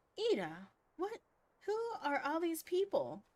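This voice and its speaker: The pitch is extremely high and squeaky. This put-on character voice keeps a moderate pace. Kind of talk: archaic formal speech. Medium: game stream. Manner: earnest, formal.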